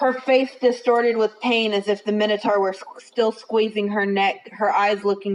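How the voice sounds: The intonation holds fairly even throughout. It's a natural reading voice.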